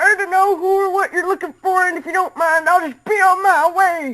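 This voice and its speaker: A woman puts on a character voice, pitched extremely high and delivered at a fairly quick pace. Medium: read story. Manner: stammering, nervous.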